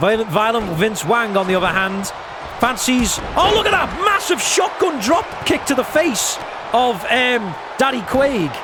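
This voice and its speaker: Extremely high in pitch, a man uses a raised, projected voice with an animated tone and very wide pitch swings at a fairly slow pace. Noticeable background noise and audible room echo surround him. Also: very even loudness. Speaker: gaming streamer doing wrestling commentary. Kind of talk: live commentary.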